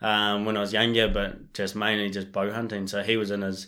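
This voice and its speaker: A man speaks in a monotone with flat intonation, in a very clean recording with a silent background. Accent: New Zealand. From New Zealand, Marlborough Sounds. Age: 20s. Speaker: bowhunter. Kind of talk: casual chat.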